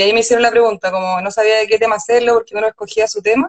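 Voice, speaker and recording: A woman with a Chilean accent talks at a fairly high pitch with ordinary pitch variation. The sound is dry and close, with no echo. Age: young. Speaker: illustrator and designer. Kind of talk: casual interview chat. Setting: Instagram live.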